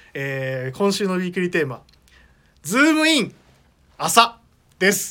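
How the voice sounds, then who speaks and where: Raised and projected, a man's high, bright, sharp voice moves at a moderate pace with very wide pitch swings and long, frequent pauses. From Okayama, Japan. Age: 30s. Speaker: radio host and clothing store staff. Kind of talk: casual radio talk show. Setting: studio.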